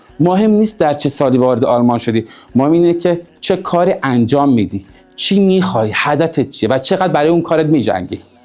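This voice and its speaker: Talking very fast at a fairly high pitch, a man keeps lively intonation and very even loudness. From Iran, Shiraz. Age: 30s. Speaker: insurance and finance consultant, former futsal player. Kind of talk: personal biography talk to camera.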